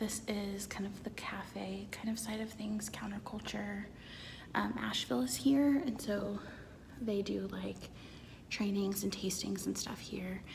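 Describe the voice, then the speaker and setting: Whispering from a woman at a fairly slow pace, with audible room echo and noticeable background noise. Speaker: lifestyle vlogger. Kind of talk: vlog to camera. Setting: co-working space.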